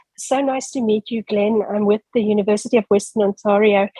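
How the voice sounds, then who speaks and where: A woman with a South African accent is heard in a dry, close sound with no echo. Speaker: academic asking a question. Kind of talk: audience question.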